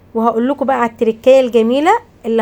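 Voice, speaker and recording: A woman speaks with an Egyptian accent and a high pitch. Her pitch variation is ordinary. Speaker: cooking channel host. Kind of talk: cooking tutorial. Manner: animated.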